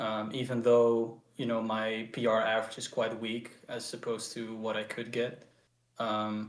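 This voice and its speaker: A man with a Dutch accent at a medium pitch and fairly slow pace, monotone and flat, with audible room echo. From Netherlands. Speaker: speedcuber. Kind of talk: post-match interview. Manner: halting.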